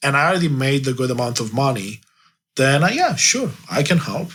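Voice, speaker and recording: Speaking with a Romanian accent, a man uses a fairly high pitch, ordinary pitch variation and a moderate pace. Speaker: life coach. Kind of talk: interview. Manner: halting.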